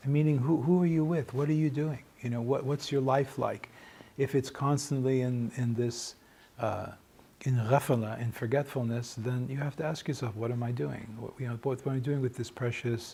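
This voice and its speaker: This man talks at a moderate pace in a medium pitch, with fairly even intonation, a somewhat breathy quality and a dark, mellow tone. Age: 60s. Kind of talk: informal talk to small group. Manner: halting, repeats words.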